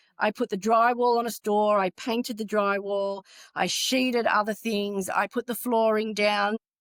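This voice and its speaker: Speaking in an Australian accent, a woman with a fairly high pitch uses monotone, flat intonation at a moderate pace, captured dry and close with no echo. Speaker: retail construction executive. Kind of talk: interview.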